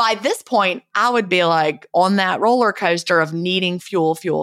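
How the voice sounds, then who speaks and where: Speaking with a Southern US accent, a woman uses a medium pitch and ordinary pitch variation. She keeps a moderate pace with hardly any pauses. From US South. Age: 50s. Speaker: author and retired teacher, podcast host.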